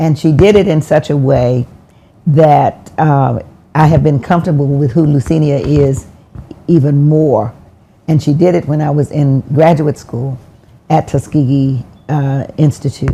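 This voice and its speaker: A woman with an American accent speaks at a very deep, low pitch in a dark, mellow, somewhat breathy tone. Her intonation is fairly even, her pace fairly slow, and her pauses long and frequent. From US South. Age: 80s+. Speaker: former mayor. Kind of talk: interview. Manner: halting.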